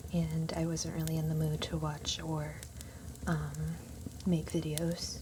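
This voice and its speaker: The speech moves at a fairly slow pace with long, frequent pauses. Noticeable background noise sits underneath. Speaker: ASMR creator. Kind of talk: ASMR soft-spoken video. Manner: soft-spoken.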